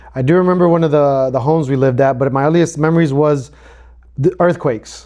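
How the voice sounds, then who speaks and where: A man at a very fast pace with a Spanish accent, fairly high in pitch, his intonation fairly even and his loudness very even. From El Salvador. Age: 40s. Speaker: podcast co-host. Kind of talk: casual chat.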